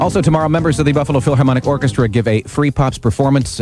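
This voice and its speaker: A man talks at a very fast pace over music in the background. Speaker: radio host. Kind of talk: morning radio DJ talk. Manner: relaxed, casual.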